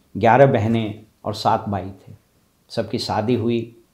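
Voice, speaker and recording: A man speaks in a dark, mellow tone with monotone, flat intonation. The background is quiet. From Bihar, India (Dhanbad area, Nalanda roots); Bihar, India. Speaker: motivational speaker. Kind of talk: motivational talk. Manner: formal. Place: office. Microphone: lapel.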